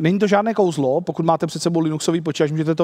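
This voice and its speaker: A man's voice with ordinary pitch variation over a quiet background. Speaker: conference presenter. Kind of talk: lecture. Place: hall.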